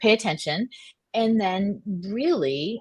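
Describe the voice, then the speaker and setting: A woman speaks in a somewhat breathy voice, recorded with a dry, close sound and no echo. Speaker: business leader, panelist. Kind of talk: panel discussion. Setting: live online panel.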